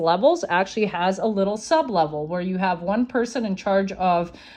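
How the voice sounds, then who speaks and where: A woman with a non-native accent talks at medium pitch with lively intonation. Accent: non-native, mispronounces words. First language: not English (English is fifth language). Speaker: social media conspiracy commentator. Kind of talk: explainer video monologue. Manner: hesitant, many fillers.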